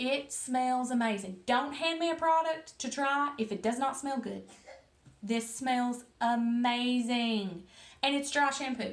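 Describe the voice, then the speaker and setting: This woman has a strong Southern US accent and a high pitch. She talks at a very slow pace with ordinary pitch variation. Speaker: hairstylist. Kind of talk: casual talk to camera.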